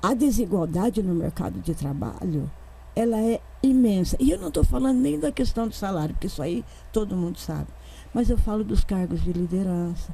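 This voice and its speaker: At a moderate pace, a woman speaks in a fairly low pitch with a dark, mellow tone. Her voice has vocal fry and very wide pitch swings. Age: 70s. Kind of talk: panel discussion.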